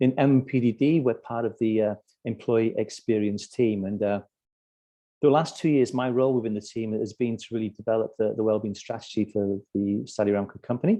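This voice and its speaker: Fairly quick speech in a British accent, with fairly even intonation. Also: man, medium pitch for a man. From UK. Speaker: corporate wellbeing strategist. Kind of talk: webinar presentation. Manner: halting, many repetitions and fillers.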